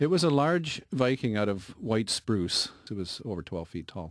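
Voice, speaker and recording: A man with a fairly low pitch talks at a moderate pace, his voice making very wide pitch swings. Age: 60s. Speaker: woodcarver. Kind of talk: radio interview. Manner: halting, many repeated words.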